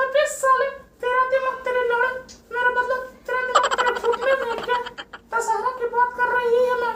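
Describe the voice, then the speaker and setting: A put-on character voice, moderate in pace and monotone, with flat intonation. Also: female-sounding voice, extremely high pitch for a woman. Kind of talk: comedy podcast banter.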